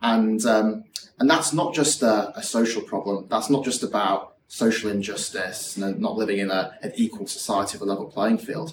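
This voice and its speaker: A man with a Yorkshire accent speaks at a medium pitch and moderate pace, with ordinary pitch variation and hardly any pauses. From West Yorkshire, England (Morley). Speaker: startup founder and CEO. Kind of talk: interview.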